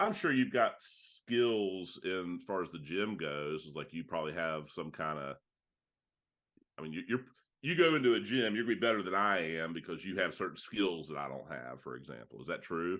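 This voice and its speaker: A man's very deep, low voice with vocal fry and lively intonation. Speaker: business networking member. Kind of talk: one-to-one business meeting. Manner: fast.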